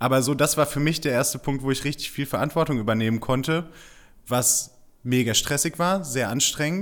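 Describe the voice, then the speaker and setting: On a very clean recording with a silent background, a man speaks in an ordinary speaking voice, medium in pitch, at a moderate pace with ordinary pitch variation. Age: 20s. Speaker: PR consultant. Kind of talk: casual interview.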